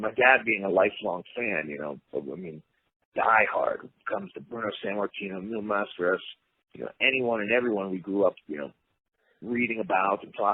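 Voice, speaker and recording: A man's fairly low-pitched, normal speaking voice with an American accent, at a fairly quick pace. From Pittsburgh, US. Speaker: pro wrestler. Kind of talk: interview.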